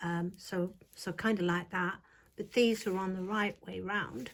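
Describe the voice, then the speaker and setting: A woman speaks at a very slow pace with a somewhat breathy voice. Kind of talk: tarot reading. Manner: soft-spoken; casual, hesitant. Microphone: viewers said too quiet.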